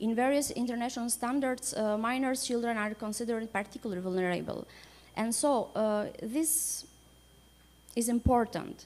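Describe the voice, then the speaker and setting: A woman's fairly high-pitched voice at a moderate pace, with ordinary pitch variation and very even loudness. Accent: Albanian. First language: Albanian. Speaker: supreme court judge. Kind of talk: conference panel talk. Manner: halting.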